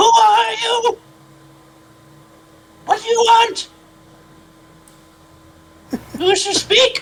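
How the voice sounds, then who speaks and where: A put-on character voice at an extremely high pitch, very slow, with long, frequent pauses. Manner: mysterious.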